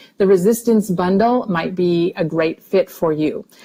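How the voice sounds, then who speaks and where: A woman has an unremarkable speaking voice at a medium pitch. Her intonation stays fairly even. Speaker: nutrition supplement presenter. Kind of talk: webinar product presentation. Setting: online webinar.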